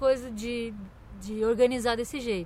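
A woman's high-pitched voice. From Brazil, Santa Catarina. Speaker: podcast host, musician. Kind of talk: casual interview chat. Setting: outdoors in a park.

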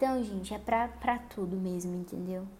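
A woman speaks at a medium pitch and moderate pace in a dark, mellow tone. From Paraná, Brazil. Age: 20s. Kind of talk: solo religious lifestyle podcast monologue.

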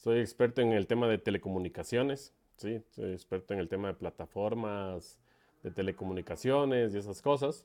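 Against a quiet background, a man in a plain, everyday voice speaks at a moderate pace with fairly low pitch and ordinary pitch variation. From Ecuador, Quito. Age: 40s. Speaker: paragliding pilot and event organizer. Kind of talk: casual interview.

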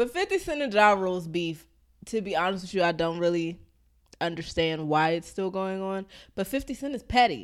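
In an American accent, a woman uses a normal speaking voice at medium pitch, talking at a fairly quick pace with lively intonation on a very clean recording with a silent background. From Maryland, US. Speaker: podcast co-host. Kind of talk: casual chat.

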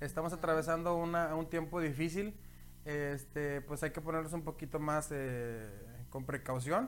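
With a normal speaking voice, a man talks at a moderate pace, a fairly high pitch and ordinary pitch variation. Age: 30s. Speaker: podcast host. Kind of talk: casual chat. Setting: home studio.

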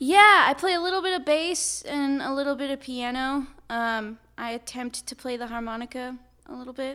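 A woman with an American accent projects a raised, high-pitched voice with a bright, sharp tone, speaking at a moderate pace with ordinary pitch variation and big swings in loudness. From US West Coast, Napa, California. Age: 20s. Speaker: singer-songwriter. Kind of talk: interview. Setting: coffee shop.

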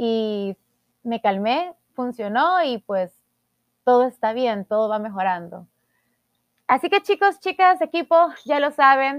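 On a very clean, dry, close recording with a silent background and no echo, a woman speaks very slowly at a high pitch, with very wide pitch swings and long, frequent pauses. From El Salvador. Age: 20s. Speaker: podcast host, beauty queen. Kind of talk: personal monologue podcast.

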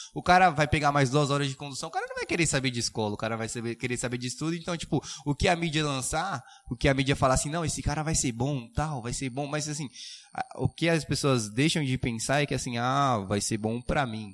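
A man in a plain, everyday voice, fairly high-pitched and fairly quick, with ordinary pitch variation. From Suzano, São Paulo state, Brazil. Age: young. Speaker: prep course student. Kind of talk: casual chat.

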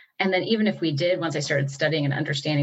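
Somewhat breathy, a woman with an American accent speaks with ordinary pitch variation. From US Midwest, Batavia, Illinois. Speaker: city council member. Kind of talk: interview.

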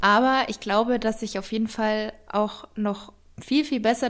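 A woman speaks fairly slowly in a fairly high pitch with fairly even intonation. It is a normal speaking voice. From Bavaria, near Munich. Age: 20s. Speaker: fitness and nutrition influencer, cookbook author. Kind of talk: casual interview.

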